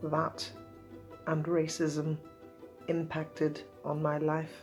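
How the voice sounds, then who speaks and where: Over music in the background, a woman with a Northern Irish accent speaks at a very deep, low pitch. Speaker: author. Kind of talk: personal talk to camera.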